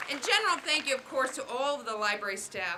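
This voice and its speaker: A woman is speaking. There is noticeable background noise behind her. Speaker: library official. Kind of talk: ceremonial speech.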